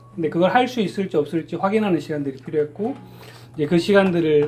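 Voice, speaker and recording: A man's voice, high in pitch, comes through with music in the background. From Busan, Korea. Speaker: sign language praise performer, church deacon. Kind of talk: testimony.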